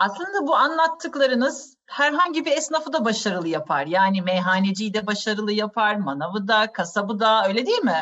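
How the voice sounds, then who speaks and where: With very wide pitch swings and hardly any pauses, a woman with a fairly high pitch speaks at a moderate pace. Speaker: podcast host and wine educator. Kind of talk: interview, informative conversation. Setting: video call.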